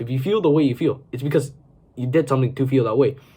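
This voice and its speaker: A man with a somewhat breathy, dark, mellow tone, medium pitch and ordinary pitch variation, at a very fast pace. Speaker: self-improvement video creator. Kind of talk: motivational talk to camera. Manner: casual, filler-heavy.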